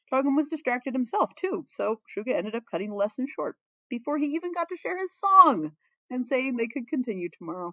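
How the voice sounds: At a fairly quick pace, a woman speaks high and with big pitch swings, her tone bright and sharp, the sound dry and close with no echo.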